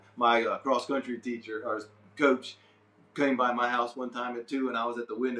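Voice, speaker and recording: Noticeable background noise fills the clip. A man talks fairly quickly with an American accent. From Delaware, US. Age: 60s. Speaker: fine artist. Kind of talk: interview. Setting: art studio. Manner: casual, halting.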